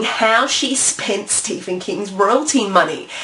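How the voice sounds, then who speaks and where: A woman's voice over noticeable background noise. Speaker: vlogger on indie publishing. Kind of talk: vlog monologue.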